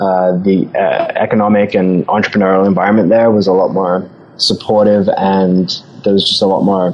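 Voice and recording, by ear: This man speaks with an Australian accent at a moderate pace, his low voice carrying a slightly mellow tone.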